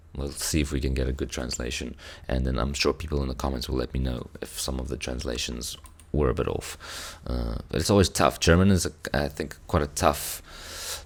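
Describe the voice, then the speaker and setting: With a South African accent, a man speaks at a moderate pace in a very deep, low pitch. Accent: South African (Afrikaans) English. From South Africa, Cape Town. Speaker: music reaction youtuber. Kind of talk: casual chat. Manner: halting.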